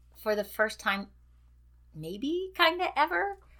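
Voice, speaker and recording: With a raised, projected voice and a bright, sharp tone, a woman talks at a fairly slow pace, her pitch swinging very widely. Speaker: retiring educator. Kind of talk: interview.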